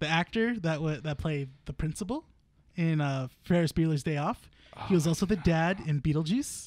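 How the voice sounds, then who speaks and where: A man with an unremarkable speaking voice talks at a fairly quick pace and a fairly high pitch, with ordinary pitch variation, in a dry, close recording with no echo. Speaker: podcast co-host. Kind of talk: casual chat. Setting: comic shop.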